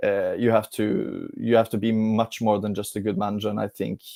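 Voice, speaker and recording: On a very clean recording with a silent background, a man with a Norwegian accent speaks in a dark, mellow tone at a fairly low pitch, monotone and flat, at a moderate pace. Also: dry, close sound with no echo. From Norway. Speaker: football fan pundit. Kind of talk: casual live-stream football discussion.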